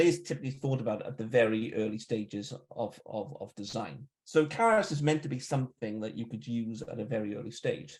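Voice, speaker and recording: A man speaks at a very fast pace with lively intonation and a somewhat breathy voice. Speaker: software security researcher and tool creator. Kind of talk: technical talk. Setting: live online event.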